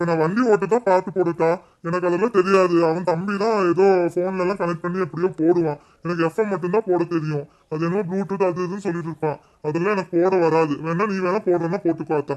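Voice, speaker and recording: A man's cartoonish character voice, high in pitch and at a fairly quick pace. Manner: plain, mild, slightly bewildered.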